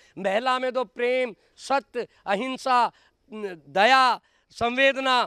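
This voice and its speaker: A man's raised, projected voice, extremely high for a man, bright and sharp in tone, with ordinary pitch variation and a dry, close sound with no echo. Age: 70s. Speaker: activist. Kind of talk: public speech. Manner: animated.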